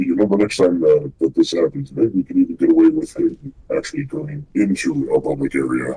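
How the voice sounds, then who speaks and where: A man's put-on character voice, fairly quick and with hardly any pauses. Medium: actual play.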